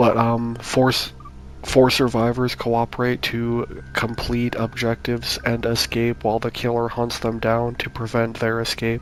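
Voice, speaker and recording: A soft-spoken man in a monotone, flat intonation, with music in the background. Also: medium pitch for a man, fairly slow pace. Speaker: YouTuber pitching game concepts. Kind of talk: casual monologue. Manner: halting, many fillers.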